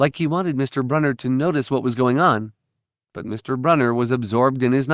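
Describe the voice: Over a quiet background, someone does plain reading aloud.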